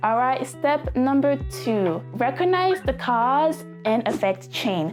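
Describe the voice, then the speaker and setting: Over music in the background, a woman speaks in an upbeat tone at a fairly slow pace. Her fairly high pitch moves in very wide swings. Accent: French. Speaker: self-improvement vlogger. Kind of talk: casual talk to camera. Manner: upbeat, motivational.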